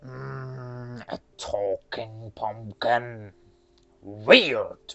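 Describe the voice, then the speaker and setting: A put-on character voice at a low-to-middle pitch. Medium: read story. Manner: greedy.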